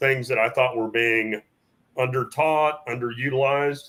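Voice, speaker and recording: A man has an ordinary speaking voice at a medium pitch. His pitch variation is ordinary. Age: 60s. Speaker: firearms trainer. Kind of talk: casual chat. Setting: studio.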